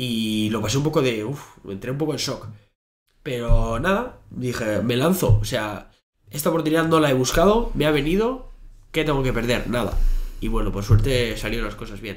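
A man with vocal fry speaks at a moderate pace, his intonation lively. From Basque Country, Bilbao; Basque Country. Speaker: fitness coach and podcaster; podcast guest. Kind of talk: interview. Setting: in person at a university. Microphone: studio mic.

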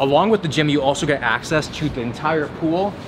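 The voice belongs to a man. Behind him there is noticeable background noise. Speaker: fitness vlogger. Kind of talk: casual vlog chat. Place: gym.

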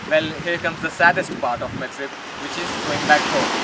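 A man's fairly brisk delivery competes with loud noise behind him. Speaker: travel vlogger. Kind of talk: casual vlog chat. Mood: warm, slightly wistful. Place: beach.

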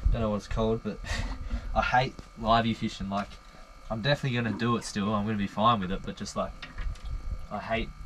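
At a fairly quick pace, a man talks over light background noise. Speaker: fishing vlogger. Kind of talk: casual vlog chat. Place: boat. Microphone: camera far.

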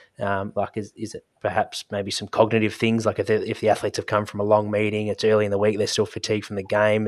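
A man talks at a fast pace. His pitch sits fairly low.

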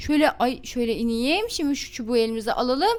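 An animated woman's voice at a fairly quick pace, with noticeable background noise. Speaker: gaming youtuber. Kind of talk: gameplay commentary.

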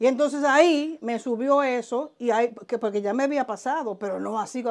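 A woman speaks with a Dominican accent and a fairly even intonation. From Dominican Republic, southern border region (Elías Piña), raised in Santo Domingo; Dominican Republic. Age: 50s. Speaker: vodou spiritual practitioner; interviewee. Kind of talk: interview, life story. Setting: at her home. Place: home room. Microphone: lapel.

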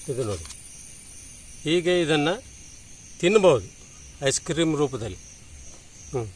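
A fairly high-pitched man's voice with lively intonation and vocal fry. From Uttara Kannada, Karnataka (Sirsi). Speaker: farmer and mango variety conservationist. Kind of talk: casual explanation on camera.

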